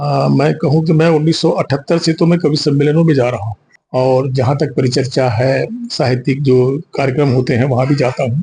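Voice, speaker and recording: A man's somewhat breathy voice at a fairly high pitch, dark and mellow in tone, with fairly even intonation. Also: moderate pace. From Chhattisgarh, India. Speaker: poet and writer. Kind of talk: interview.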